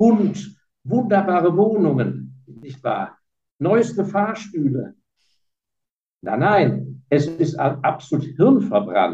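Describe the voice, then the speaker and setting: The voice has a dark, mellow tone with vocal fry, very wide pitch swings and big shifts in loudness. It moves at a very slow pace, broken by long, frequent pauses. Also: man, fairly high pitch for a man. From Germany (Heidelberg), partly raised in Hong Kong. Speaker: fund manager and investor. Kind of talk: interview.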